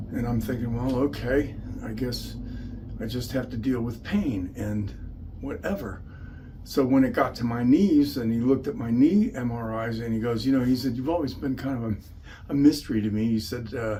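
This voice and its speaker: Audible room echo colors a man's voice at a medium pitch. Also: ordinary pitch variation, moderate pace. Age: 70s. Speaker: patient giving testimony. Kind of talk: testimony. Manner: conversational, with fillers.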